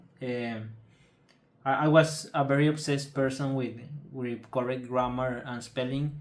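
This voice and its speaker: In a Spanish accent, a man talks at a fairly slow pace with monotone, flat intonation, and the room echo is audible. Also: medium pitch for a man. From Mexico. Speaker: patient telling his illness story. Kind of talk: personal testimony. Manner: halting, many fillers and repetitions.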